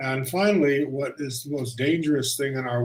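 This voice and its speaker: A man with an American accent speaks in a fairly high, somewhat breathy voice. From United States. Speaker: intercultural consultant and trainer. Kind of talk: guest talk on video call. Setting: video call. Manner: halting, many fillers and restarts.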